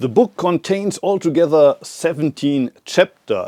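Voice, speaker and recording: A man with a German accent has a dark, mellow tone, heard dry and close with no echo. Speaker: Zen abbot and author. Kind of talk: casual talk to camera. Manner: hesitant with fillers.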